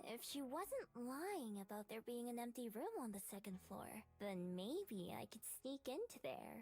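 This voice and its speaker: A female-sounding put-on character voice, fairly high in pitch. It moves at a moderate pace over clear background noise. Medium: solo performance. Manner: guarded, wry.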